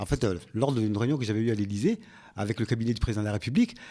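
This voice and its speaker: This voice belongs to a man. Normal rises and falls mark his pitch. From Comoros. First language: Comorian (speaking French). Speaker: local politician and association president. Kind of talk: radio interview. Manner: halting.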